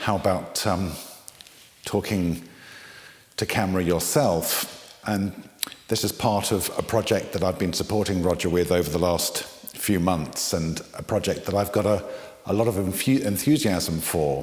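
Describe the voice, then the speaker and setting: A man's very deep, low voice with ordinary pitch variation over noticeable background noise. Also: moderate pace. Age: 60s. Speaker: interviewee. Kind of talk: talking to camera, personal story. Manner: hesitant, many fillers.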